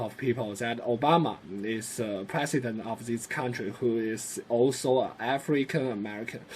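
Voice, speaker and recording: A man with a Chinese accent speaks at a moderate pace with ordinary pitch variation. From China. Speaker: student. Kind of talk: class presentation. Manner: hesitant, many fillers.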